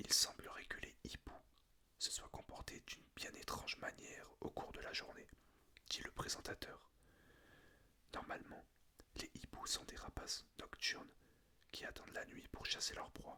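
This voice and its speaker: Someone is whispering at a fairly slow pace. The speech is broken by long, frequent pauses. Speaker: ASMR creator. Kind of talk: reading aloud.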